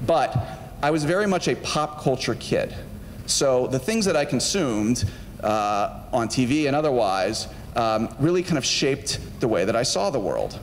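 Over light background noise, a man with an American accent talks at a moderate pace. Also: lively intonation. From US South, Georgia (Marietta); Georgia. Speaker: film studio executive; guest lecturer. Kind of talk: lecture to students. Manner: casual, conversational with fillers. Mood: relaxed, friendly, humorous. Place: stage. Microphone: handheld.

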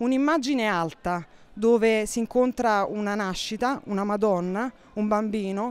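The recording is very clean, with a silent background. A woman with a fairly high pitch talks at a moderate pace with ordinary pitch variation. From Naples, Italy. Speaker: contemporary art professional. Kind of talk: interview explanation. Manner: halting with fillers and repetitions.

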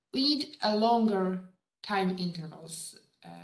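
A woman's very slow, somewhat breathy speech with ordinary pitch variation, audible room echo and a quiet background. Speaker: lecturer. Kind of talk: lecture. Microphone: video call.

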